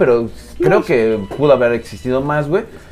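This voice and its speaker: A man speaks over noticeable background noise. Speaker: podcast host. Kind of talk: casual chat.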